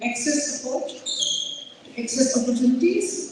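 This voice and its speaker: Speaking with a Pakistani accent, a woman with a high voice is heard amid noticeable background noise and audible room echo. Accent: Pakistani accent, unapologetic. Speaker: community organizer. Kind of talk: speech at community event.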